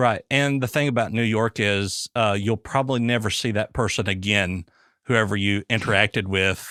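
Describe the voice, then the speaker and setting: A man with a Southern US accent, fairly low in pitch with a bright, sharp tone, very even loudness, fairly even intonation and a moderate pace, in a dry, close sound with no echo. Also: very clean recording, silent background. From US South. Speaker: podcast host, former police officer. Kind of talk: casual interview chat. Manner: halting.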